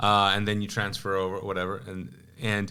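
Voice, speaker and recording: Speaking at a very fast pace, a man with a Pakistani accent has a bright, sharp tone and a fairly low pitch, with audible room echo. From Kuwait, Pakistani family. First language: Urdu. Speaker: pastor. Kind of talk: testimony; casual chat. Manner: halting.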